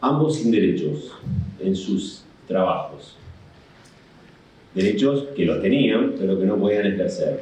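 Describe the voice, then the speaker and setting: A man's fairly slow speech with very wide pitch swings and audible room echo. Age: 60s. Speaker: union leader and labor lawyer. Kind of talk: conference talk. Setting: in-person panel at a law association.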